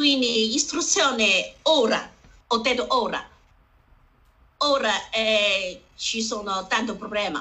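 At a very slow pace, a woman speaks at a fairly high pitch with a Chinese accent. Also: ordinary pitch variation. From northern China, Harbin. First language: Chinese (speaking Italian). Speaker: community association founder. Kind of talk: panel discussion. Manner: halting, broken Italian.

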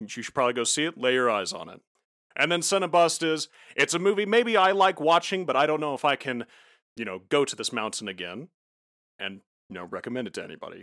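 In a very clean recording with a silent background, a man with a fairly high pitch and a bright, sharp tone speaks at a very fast pace, with very wide pitch swings and big swings in loudness. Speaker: game studio founder, video game guest. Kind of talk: casual podcast chat about films. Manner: joking, self-deprecating.

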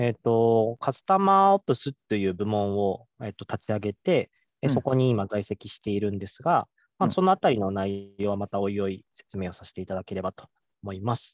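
A man with an unremarkable speaking voice talks at a moderate pace and a fairly low pitch. His intonation is fairly even, though his loudness swings widely. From Japan, Nagoya (Aichi). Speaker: customer support specialist. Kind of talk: casual interview.

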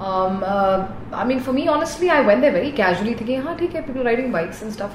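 Speaking at a very fast pace, a woman with a high pitch makes very wide pitch swings, with audible room echo and noticeable background noise. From India, raised on Air Force bases. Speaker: dentist and motorcycle racer. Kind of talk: interview.

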